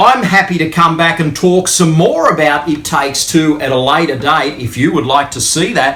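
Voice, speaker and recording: A man with a high pitch talks while noticeable background noise is present. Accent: Australian. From Australia. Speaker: YouTube movie reviewer. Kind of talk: unboxing video talk to camera. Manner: casual, with many fillers.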